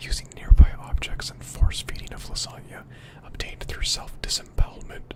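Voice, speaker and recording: A whisper against noticeable background noise. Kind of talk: softly spoken ASMR reading of a horror story. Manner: soft-spoken, quiet.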